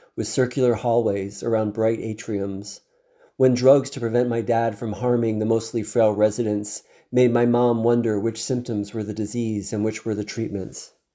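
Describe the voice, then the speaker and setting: In a recording that is very clean with a silent background, a man speaks at a moderate pace in a medium pitch, with a dark, mellow tone and fairly even intonation. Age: 60s. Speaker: ultra trail runner and Alzheimer's fundraiser. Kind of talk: personal talk to an organization's staff, voiceover. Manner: earnest, emotional, reflective.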